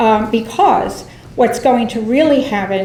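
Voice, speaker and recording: With ordinary pitch variation and a moderate pace, a woman's voice comes through audible room echo and noticeable background noise. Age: 60s. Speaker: environmental advocate. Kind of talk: public comment at board meeting. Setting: public meeting.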